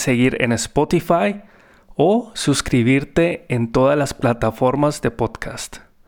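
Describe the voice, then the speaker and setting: A man with a fairly high voice talks at a very slow pace, his pitch varying in an ordinary way. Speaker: music therapist and podcast host. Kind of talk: personal storytelling narration.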